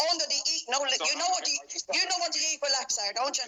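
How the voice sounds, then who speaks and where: A woman with a Dublin accent and lively intonation, over noticeable background noise. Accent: Dublin Irish. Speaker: mask-exempt protester. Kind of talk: heated argument with police. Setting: phone shop, face to face with police. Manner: loud; forceful.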